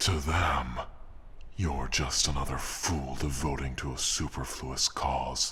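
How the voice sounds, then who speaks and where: A man's put-on character voice at a fairly slow pace, over clear background noise. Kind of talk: audio roleplay. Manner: arrogant, taunting.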